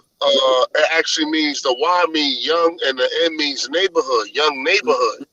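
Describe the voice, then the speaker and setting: In a New York accent, a man speaks at a moderate pace with hardly any pauses. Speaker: religious discussion panelist. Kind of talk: casual group discussion. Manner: animated.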